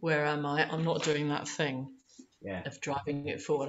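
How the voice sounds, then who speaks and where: Over light background noise, a woman speaks at a moderate pace with a very deep, low pitch and fairly even intonation. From East London; London. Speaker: opera singer; holistic voice therapist. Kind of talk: interview answer. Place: home room. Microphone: video call.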